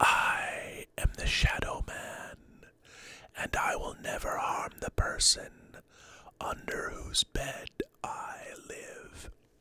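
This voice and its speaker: A man whispers in a breathy, put-on character voice. He goes very slowly, with long, frequent pauses. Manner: ASMR, breathy, soft.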